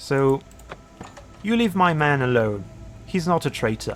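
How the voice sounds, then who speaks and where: Music plays behind a man with a fairly high pitch. He speaks at a fairly slow pace with lively intonation. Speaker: gaming video creator. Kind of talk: let's play commentary. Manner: hesitant, many fillers; lowered voice.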